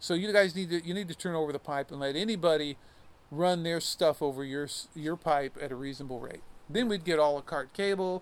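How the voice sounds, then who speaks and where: At a fairly quick pace, a man with a plain, everyday voice and a fairly high pitch speaks in an American accent with ordinary pitch variation. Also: very clean recording, silent background. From US Midwest (Iowa). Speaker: songwriter and musician. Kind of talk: casual chat.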